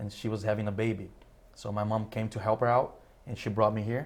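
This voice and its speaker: Monotone, flat intonation from a man with a fairly low pitch at a moderate pace. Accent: Portuguese. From Brazil. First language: Portuguese. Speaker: immigrant community member. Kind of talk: interview.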